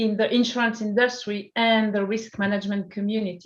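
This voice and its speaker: With a French accent, a woman speaks at a moderate pace with a fairly high pitch. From France. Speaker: startup CEO. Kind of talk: interview.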